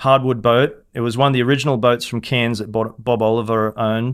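Delivered in an Australian accent, the speech has a monotone, flat intonation. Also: man. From Queensland, Australia (Hervey Bay / Fraser Island). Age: 40s. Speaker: fishing guide. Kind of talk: interview storytelling.

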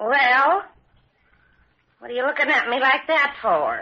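A woman puts on a character voice pitched high, talking at a fairly slow pace with big pitch swings and a slightly husky edge.

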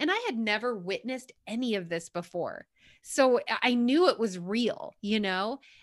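A woman with an American accent talks in an ordinary speaking voice, fairly high in pitch, at a moderate pace. Her intonation is lively, and the sound is dry and close with no echo. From New York. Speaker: author and fitness coach. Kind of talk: interview about faith and healing.

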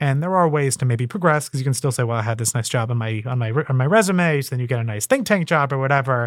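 In a very clean recording with a silent background, a man with an American accent speaks very fast at a medium pitch with ordinary pitch variation. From United States. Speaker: author and policy analyst. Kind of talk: interview.

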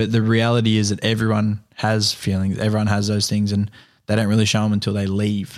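A man with an Australian accent speaks at a fairly low pitch in a flat monotone. His loudness stays very even on a very clean recording with a silent background. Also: fairly quick pace. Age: 20s. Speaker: carpenter and filmmaker. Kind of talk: casual interview. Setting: at guest's home.

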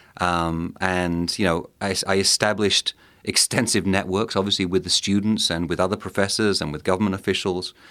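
A man with a southern English accent speaks at a fairly quick pace with fairly even intonation and a very deep, low pitch. The recording is very clean, with a silent background. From southeast England, Kent. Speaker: think tank director, Mexico expert. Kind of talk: interview.

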